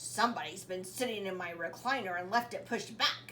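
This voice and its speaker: In a put-on character voice, a woman growls at a medium pitch and a fairly quick pace. Clear background noise can be heard. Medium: read story.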